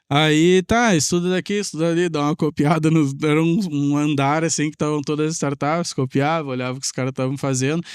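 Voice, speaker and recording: In a very clean recording with a silent background and a dry, close sound with no echo, the speaker, with a southern Brazilian accent, moves at a fairly quick pace with hardly any pauses and fairly even intonation. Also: man, fairly high pitch for a man. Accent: gaúcho Brazilian Portuguese. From southern Brazil, Pelotas (Rio Grande do Sul). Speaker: tech entrepreneur and programmer. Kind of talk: podcast interview storytelling.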